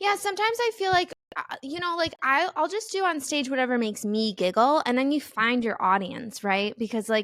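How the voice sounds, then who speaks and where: Speaking fairly quickly with hardly any pauses, a woman with a Midwestern accent uses a high pitch that swings very widely. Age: 30s. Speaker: comedian. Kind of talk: casual chat.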